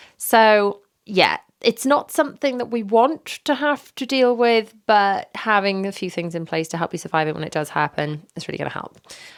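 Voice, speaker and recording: With a British accent, the speaker moves at a moderate pace through very wide pitch swings on a very clean recording with a silent background. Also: woman, fairly high pitch for a woman. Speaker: parenting podcaster. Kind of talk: casual podcast monologue. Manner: hesitant, many fillers.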